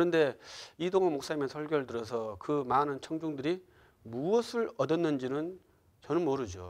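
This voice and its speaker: Against a quiet background, a man speaks at a moderate pace in a fairly high pitch. His pitch swings very widely. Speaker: pastor. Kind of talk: lecture. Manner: soft-spoken; halting, many fillers.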